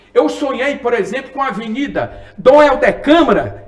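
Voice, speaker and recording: Over noticeable background noise, a man speaks at a fairly slow pace in an animated tone. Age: 60s. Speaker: former city councilman, politician. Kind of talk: interview.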